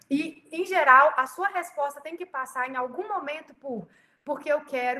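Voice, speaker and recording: A woman talks in a raised, projected voice. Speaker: pastor. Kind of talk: leadership training talk. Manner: fast.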